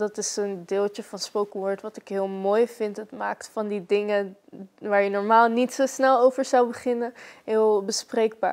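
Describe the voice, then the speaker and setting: Keeping a fairly slow pace, this woman talks with fairly even intonation. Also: fairly high pitch for a woman. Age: young. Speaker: spoken word poet. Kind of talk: interview answer. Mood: calm, reflective, warm. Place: home room.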